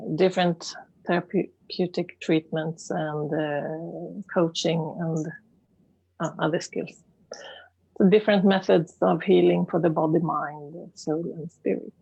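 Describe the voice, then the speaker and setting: A woman speaks very slowly in a fairly low pitch with vocal fry and a dark, mellow tone. Her intonation is fairly even, and the background is quiet. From Sweden, Stockholm. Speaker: life coach and therapist. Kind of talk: interview. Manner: halting.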